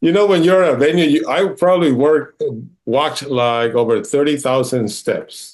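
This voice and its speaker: A man with a Spanish accent, lively intonation and very even loudness. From Mexico, Baja California. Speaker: floral designer. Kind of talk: casual interview.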